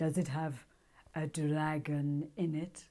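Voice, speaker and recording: A put-on character voice, female-sounding at a middle pitch, drawls at a fairly slow pace in a monotone, flat intonation. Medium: read story. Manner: lazy, drawling.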